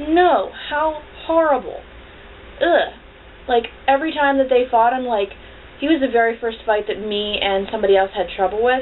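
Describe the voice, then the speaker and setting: A woman with a high voice mumbles at a moderate pace, her tone animated and her intonation lively. She leaves long, frequent pauses over noticeable background noise. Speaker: video blogger. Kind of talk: casual vlog review. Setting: at home on camera with cat. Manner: mumbling, runs words together.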